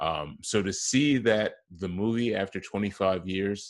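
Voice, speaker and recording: In an American accent, a man with an unremarkable speaking voice talks at a fairly low pitch with fairly even intonation over a quiet background. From Wisconsin, Kenosha. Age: 30s. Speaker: podcast host. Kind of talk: interview.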